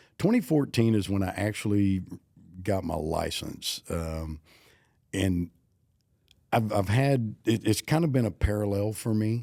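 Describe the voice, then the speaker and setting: With an American accent, a man speaks at a fairly low pitch in a dark, mellow tone. He leaves long, frequent pauses, on a very clean recording with a silent background. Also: lively intonation, fairly slow pace. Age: 60s. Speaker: auctioneer. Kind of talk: casual chat.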